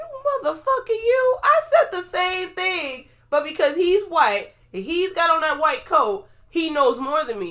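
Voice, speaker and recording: A woman's voice, extremely high in pitch and animated in tone, moves in very wide pitch swings. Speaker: podcast co-host; pharmacy worker. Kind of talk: casual chat. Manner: fast.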